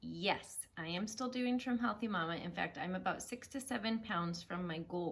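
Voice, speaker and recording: A woman talks at a moderate pace. Her voice is somewhat breathy, with ordinary pitch variation. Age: 40s. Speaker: food and weight-loss vlogger. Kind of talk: personal heart-to-heart vlog. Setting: living room at home.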